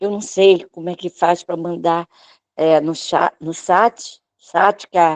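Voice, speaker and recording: Monotone and flat, the voice moves at a very slow pace with a dry, close sound and no echo. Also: woman, fairly low pitch for a woman. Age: 60s. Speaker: church member giving testimony. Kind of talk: testimony. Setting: online church service, live video call.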